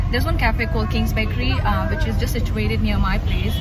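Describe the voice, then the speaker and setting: A woman at a very fast pace, with a dry sound and no echo, and crowd noise in the background. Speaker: vlogger. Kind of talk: casual vlog chat. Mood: upbeat, chatty. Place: car. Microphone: phone near.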